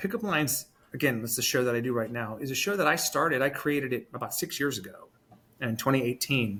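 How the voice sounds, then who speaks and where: Pitched mid-range, this man speaks with an unremarkable speaking voice. His delivery is fairly quick, with intonation that moves a lot. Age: 40s. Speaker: former morning news anchor, show host. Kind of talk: interview. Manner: casual, conversational.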